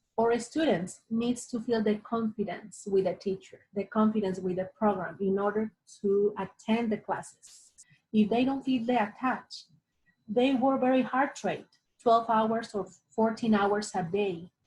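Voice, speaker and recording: Speaking with a Spanish accent, a woman is somewhat breathy and fairly high in pitch. Her intonation is fairly even and her pace fairly slow. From Latin America. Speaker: ESL teacher. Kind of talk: interview.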